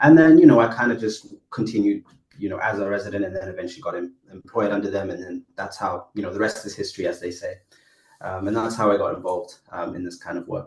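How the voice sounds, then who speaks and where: A man with a Botswanan accent talks at a very fast pace in a fairly low, somewhat breathy voice with ordinary pitch variation. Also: big swings in loudness. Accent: Botswanan accent noticeable in UK. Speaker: AI entrepreneur, former community worker. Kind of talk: podcast interview. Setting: podcast recording. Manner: hesitant, many fillers.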